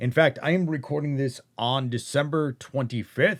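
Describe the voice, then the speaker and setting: A man with a plain, everyday voice speaks fairly slowly, at a fairly high pitch with ordinary pitch variation. The recording is very clean and silent in the background, with a dry, close sound and no echo. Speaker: voice actor. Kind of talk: casual talk to camera.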